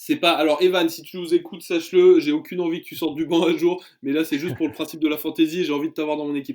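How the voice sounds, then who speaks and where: A man with a high pitch speaks at a very fast pace. His loudness swings widely. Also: fairly even intonation. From France. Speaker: sports journalist. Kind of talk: casual chat. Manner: hesitant, many fillers.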